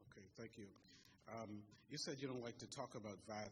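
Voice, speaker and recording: Here a man speaks at a medium pitch and a fairly quick pace. His voice is somewhat breathy, with fairly even intonation. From Bahamas, Grand Bahama. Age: 40s. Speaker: audience member asking questions. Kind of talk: question at public forum.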